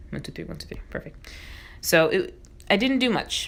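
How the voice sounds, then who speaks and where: A woman with an American accent. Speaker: gaming YouTuber. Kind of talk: casual let's-play commentary. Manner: chatty, rambling.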